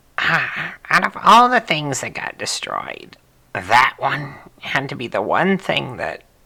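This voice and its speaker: Fairly slow delivery in a put-on character voice, pitched in the middle range. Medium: game stream. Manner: terse, trailing off.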